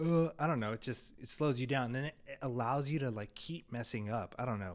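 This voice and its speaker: The recording is very clean, with a silent background. The speech moves at a fairly quick pace. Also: man. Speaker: video production company founder. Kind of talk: casual vlog monologue. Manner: monotone.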